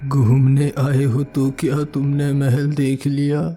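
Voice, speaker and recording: A man's cartoonish character voice, fairly high in pitch, monotone and flat in intonation, at a fairly slow pace. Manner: calm, friendly.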